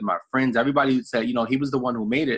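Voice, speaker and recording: A man speaks with a New York accent. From New York City, the Bronx. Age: 30s. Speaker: network marketing director. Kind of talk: motivational talk on a group call. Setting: conference call. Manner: casual, repetitive with fillers.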